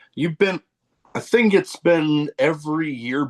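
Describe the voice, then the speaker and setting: A man with an American accent speaks fairly slowly at a fairly high pitch. His intonation is lively, and the sound is dry and close with no echo. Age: 40s. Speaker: podcast host. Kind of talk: casual interview chat. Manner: halting.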